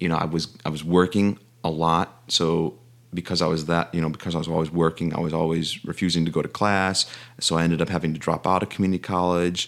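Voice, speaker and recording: A man speaks at a very fast pace in a very deep, low voice with monotone, flat intonation. The recording is very clean, with a silent background. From Chicago, US Midwest. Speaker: aspiring teacher, film graduate. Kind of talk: interview.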